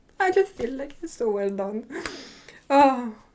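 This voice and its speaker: The woman here speaks at a moderate pace. Noticeable background noise is present too. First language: not English. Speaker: drama reviewer. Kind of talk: casual review monologue. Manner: animated.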